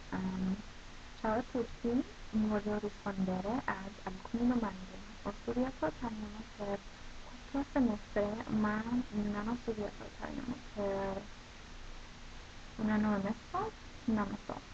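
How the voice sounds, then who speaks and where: A woman with an American accent and a fairly high voice speaks at a fairly slow pace, with long, frequent pauses over noticeable background noise. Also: fairly even intonation. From United States. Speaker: college student. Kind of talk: casual talk to camera.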